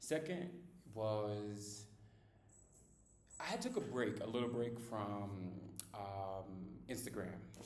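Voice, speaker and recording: Speaking at a very slow pace, a man with a fairly low pitch sounds somewhat breathy and uses lively intonation. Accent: American. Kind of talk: casual talk to camera. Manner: ranting, opinionated.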